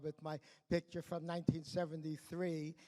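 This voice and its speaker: A man with a New York accent speaks at a moderate pace. His high-pitched voice stays monotone and flat. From New York, Brooklyn. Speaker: award honoree, education exchange executive. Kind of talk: award acceptance speech. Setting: stage at awards dinner. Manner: halting, many fillers and repetitions.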